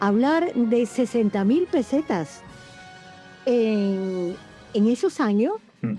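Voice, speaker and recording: Music plays in the background as a woman speaks in a fairly high pitch with very wide pitch swings. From Andalusia. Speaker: radio presenter and voice actress. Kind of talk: interview answer.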